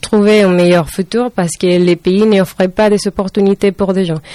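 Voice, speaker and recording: A woman's dark, mellow voice at medium pitch, monotone and flat, with a dry, close sound and no echo. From Venezuela. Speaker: student. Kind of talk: interview. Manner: halting.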